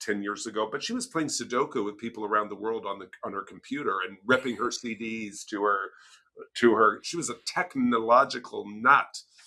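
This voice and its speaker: This man talks at a moderate pace with a medium pitch and lively intonation. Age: 60s. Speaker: leadership speaker and PhD student. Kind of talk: podcast interview. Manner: animated.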